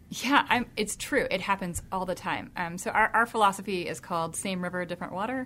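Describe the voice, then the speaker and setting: An ordinary speaking voice, a woman with an American accent talks at a fairly quick pace with hardly any pauses and ordinary pitch variation, on a very clean recording with a silent background. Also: medium pitch for a woman. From US South, Jonesboro, Georgia. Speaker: tech company founder. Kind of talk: radio interview.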